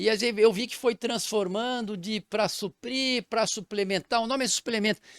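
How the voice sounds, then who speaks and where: In a very clean recording against a silent background, a man talks at a moderate pace. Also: dry, close sound with no echo. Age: 60s. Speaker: physician. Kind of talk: interview. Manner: halting.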